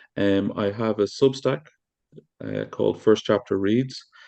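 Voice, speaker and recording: A man with an Irish accent, fairly low in pitch, at a moderate pace. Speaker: podcast host reading book chapters.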